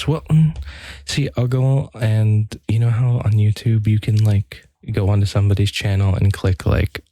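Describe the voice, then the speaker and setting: A soft-spoken man talks at a fairly slow pace with a fairly low pitch and ordinary pitch variation. His tone is dark and mellow, and somewhat breathy. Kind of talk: ASMR rambling talk to camera.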